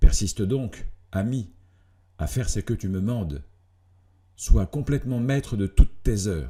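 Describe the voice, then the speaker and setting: A man's somewhat breathy voice with a dark, mellow tone, lively intonation and a fairly slow pace. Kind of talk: philosophical letter reading.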